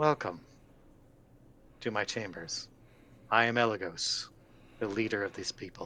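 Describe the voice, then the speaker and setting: Putting on a booming character voice at a fairly low pitch, a man talks at a moderate pace with long, frequent pauses. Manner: restrained, not too loud.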